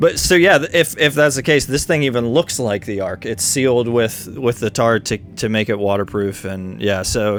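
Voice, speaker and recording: With music in the background, a man talks with lively intonation. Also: medium pitch for a man, moderate pace. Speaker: Bible teacher. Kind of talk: casual chat.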